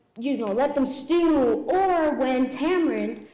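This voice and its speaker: With lively intonation and a high pitch, a woman speaks in an American accent against audible room echo. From New York, the Bronx. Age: 30s. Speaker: pastry chef. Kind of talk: cooking demonstration.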